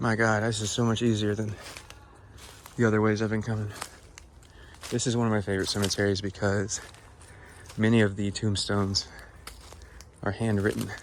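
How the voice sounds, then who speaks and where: Against noticeable background noise, a man speaks in a monotone, flat intonation with long, frequent pauses. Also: fairly low pitch for a man. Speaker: cemetery explorer vlogger. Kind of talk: casual vlog narration. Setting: outdoors in the woods. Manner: quiet, speaking softly; halting, many fillers.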